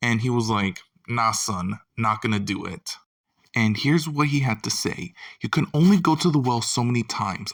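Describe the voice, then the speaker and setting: This man is soft-spoken, with a medium pitch, ordinary pitch variation and a moderate pace. The sound is dry and close with no echo, in a very clean recording with a silent background. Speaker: YouTube film commentator. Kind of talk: casual video commentary. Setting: home at night. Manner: quiet, soft-spoken.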